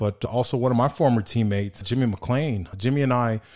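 Over a quiet background, a man with an American accent speaks at a moderate pace and medium pitch, his tone dark and mellow and his pitch variation ordinary. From El Paso, Texas. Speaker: sports podcast host, former college football player. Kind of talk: casual chat.

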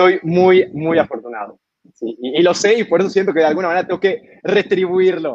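At a fairly quick pace, a man speaks in a high voice. His pitch varies in an ordinary way. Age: 20s. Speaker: brewery director. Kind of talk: interview. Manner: talkative, many fillers.

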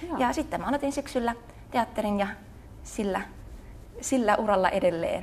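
At a moderate pace, the speaker uses lively intonation and vocal fry, with long, frequent pauses. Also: woman, fairly high pitch for a woman. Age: 20s. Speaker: pole dance and theatre teacher. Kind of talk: casual interview.

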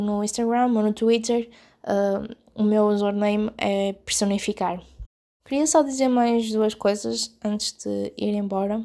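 A woman with a European Portuguese accent speaks in a fairly high, dark, mellow tone with fairly even intonation, in a very clean recording with a silent background. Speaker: podcaster and blogger. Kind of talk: solo podcast monologue. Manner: hesitant, many fillers.

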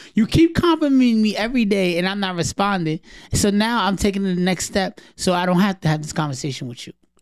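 Lively in intonation, a man with a high pitch speaks at a very fast pace. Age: 30s. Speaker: podcast co-host. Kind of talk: casual chat.

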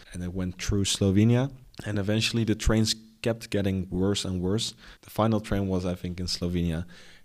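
In a Dutch accent, a man speaks at a fairly quick pace with fairly low pitch, fairly even intonation and big swings in loudness, on a very clean recording with a silent background. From Netherlands, near Den Bosch. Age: 20s. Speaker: graduate student and entrepreneur. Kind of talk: interview.

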